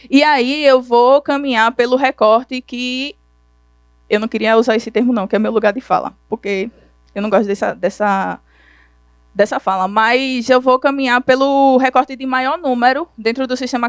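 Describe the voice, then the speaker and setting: The pace is moderate and the pitch varies in an ordinary way. The sound is dry and close, with no echo. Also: woman. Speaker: conference speaker. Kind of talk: lecture.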